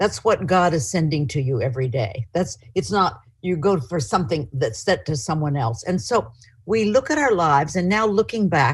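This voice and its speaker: A woman speaks with a fairly low pitch and vocal fry. Her pitch swings very widely. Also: moderate pace. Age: 70s. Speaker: author and publisher. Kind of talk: lecture. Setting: video call.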